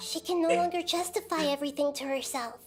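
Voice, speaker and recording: In a put-on character voice, someone speaks at a very fast pace with a high pitch. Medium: video game. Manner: fast, excitable.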